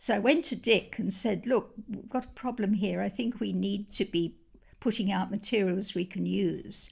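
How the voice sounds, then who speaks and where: A woman of medium pitch speaks with vocal fry at a fairly slow pace on a very clean recording with a silent background. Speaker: Bible translation consultant. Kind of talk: interview answer.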